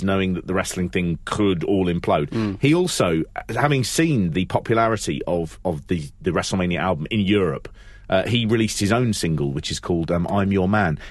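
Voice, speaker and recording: A man with a London accent and a very deep, low pitch. He talks at a fairly quick pace with lively intonation. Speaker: wrestling podcast co-host. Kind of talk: casual chat.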